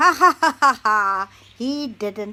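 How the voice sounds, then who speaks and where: Using a put-on character voice, a woman speaks at a high pitch with lively intonation. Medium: read story.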